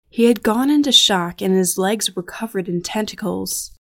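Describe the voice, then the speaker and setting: At a moderate pace, a woman with a medium pitch and ordinary pitch variation uses a normal speaking voice, recorded very cleanly against a silent background. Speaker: podcast narrator. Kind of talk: true-crime style narration, scripted and grave. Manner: measured, somber, even-paced; formal, detached, reportorial.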